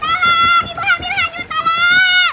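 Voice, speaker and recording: The speaker puts on a character voice with an extremely high pitch. The pace is fairly slow, and background noise is clearly audible. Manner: desperate cry for help.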